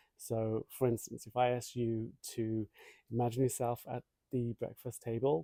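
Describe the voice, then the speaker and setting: A man's medium-pitched voice at a moderate pace, dark and mellow in tone, dry and close with no echo. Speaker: meditation teacher. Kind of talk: guided meditation lesson. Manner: hesitant with fillers.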